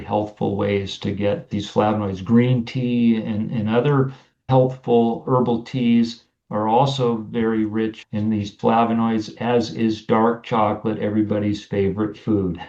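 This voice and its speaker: An unremarkable speaking voice at a moderate pace, with fairly even intonation and hardly any pauses. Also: man. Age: 60s. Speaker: naturopathic doctor. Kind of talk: interview.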